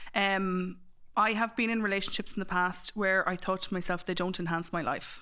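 In an Irish Midlands accent, a woman speaks at a moderate pace with medium pitch, a bright, sharp tone, monotone, flat intonation and very even loudness, on a very clean recording with a silent background. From Ireland, Mullingar. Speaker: matchmaker and dating coach. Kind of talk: casual chat.

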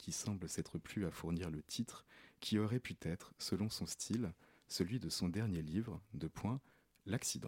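A man talks at a fairly slow pace with ordinary pitch variation, the recording very clean and the background silent. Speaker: radio co-host.

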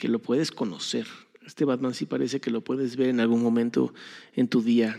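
In a Mexican accent, a man speaks at a moderate pace with a dark, mellow tone. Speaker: podcast host. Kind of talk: casual monologue.

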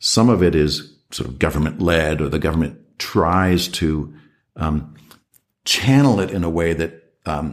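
A man's very deep, low voice with vocal fry, lively intonation and an American accent. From United States. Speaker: professor of international security. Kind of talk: interview. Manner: hesitant, many fillers.

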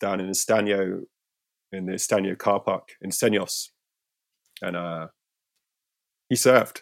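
In a Cornish accent, a man with a fairly low voice speaks at a fairly slow pace, with fairly even intonation and long, frequent pauses. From Cornwall, St Ives. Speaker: surfer and filmmaker. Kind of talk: casual chat.

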